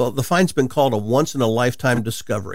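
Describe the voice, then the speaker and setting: With lively intonation, a man talks at a medium pitch. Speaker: radio host and Bible teacher.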